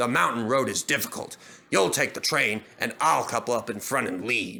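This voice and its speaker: The man puts on a character voice, keeping it at a medium pitch. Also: moderate pace. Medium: read story. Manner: gruff, steady, no-nonsense.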